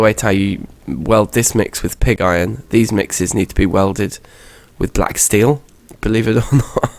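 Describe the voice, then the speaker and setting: A man with a British accent and vocal fry, ordinary pitch variation, at a moderate pace. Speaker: gaming youtuber. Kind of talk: gameplay commentary. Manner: hesitant with fillers.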